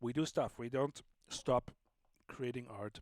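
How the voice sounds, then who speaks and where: A man speaks at a medium pitch with a German accent. The sound is dry and close, with no echo. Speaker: livestream host and sound artist. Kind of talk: casual live stream chat. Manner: casual, slightly halting.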